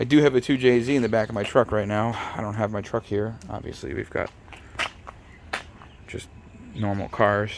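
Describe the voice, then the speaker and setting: Quiet and fairly low-pitched, a man speaks with fairly even intonation. Long, frequent pauses break up his speech over noticeable background noise. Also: moderate pace. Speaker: car restoration YouTuber. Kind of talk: casual garage vlog talk. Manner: monotone.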